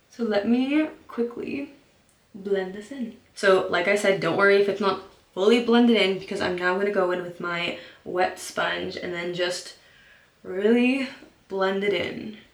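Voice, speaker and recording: Against audible room echo, a woman talks at a fairly slow pace. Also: medium pitch for a woman, ordinary pitch variation. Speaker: beauty vlogger. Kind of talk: makeup tutorial. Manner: casual, chatty.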